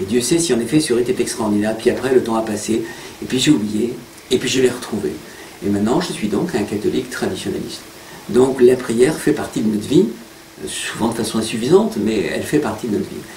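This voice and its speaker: A man with a medium-pitched voice talks at a fairly quick pace with lively intonation, over noticeable background noise and audible room echo. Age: 60s. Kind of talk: interview.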